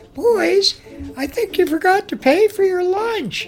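A put-on character voice talks at a fairly slow pace in an extremely high pitch. Faint music plays in the background.

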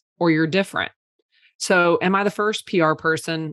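An ordinary speaking voice with ordinary pitch variation comes through against a quiet background. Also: woman. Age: 30s. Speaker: PR agency owner. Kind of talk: casual chat.

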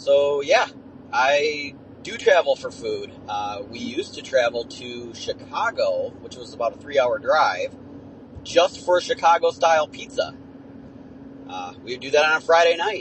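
With an Ontario accent, a man speaks fairly slowly, leaving long, frequent pauses. His loudness swings a lot, and there is noticeable background noise. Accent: Canadian, Ontario-sounding. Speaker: listener leaving a voicemail. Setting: phone voicemail, recorded while driving. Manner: relaxed, chatty, trails off at times.

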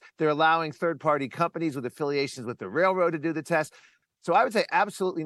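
Recorded in a dry, close sound with no echo, a man with a plain, everyday voice speaks in a fairly high pitch with ordinary pitch variation. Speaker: climate commentator. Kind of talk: interview.

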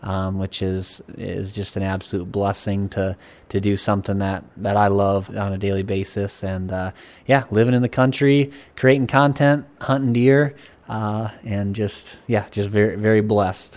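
A man with a normal speaking voice talks at a moderate pace with a fairly low pitch and ordinary pitch variation. The recording is very clean with a silent background. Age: 30s. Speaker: outdoor filmmaker and producer. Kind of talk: casual interview.

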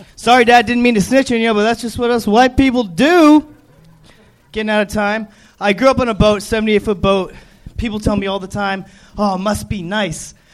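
Over noticeable background noise, a man with an American accent speaks at a high pitch with ordinary pitch variation. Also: moderate pace. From Florida Keys. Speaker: stand-up comedian. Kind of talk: stand-up.

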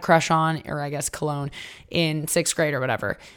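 Very deep and low in pitch, a woman talks in an animated way at a fairly quick pace, recorded very cleanly with a silent background. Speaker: podcast host. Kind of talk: solo podcast monologue. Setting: recording at a relative's home.

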